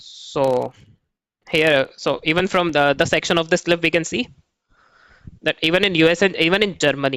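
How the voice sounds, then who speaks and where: A man's high, bright, sharp voice with a Pakistani accent, at a moderate pace with long, frequent pauses, ordinary pitch variation and very even loudness. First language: not English. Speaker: gaming YouTuber. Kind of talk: video commentary. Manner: hesitant, many fillers.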